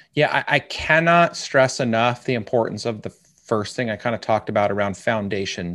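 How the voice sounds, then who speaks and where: In a plain, everyday voice, a man talks with ordinary pitch variation. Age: 40s. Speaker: life coach. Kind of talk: interview conversation.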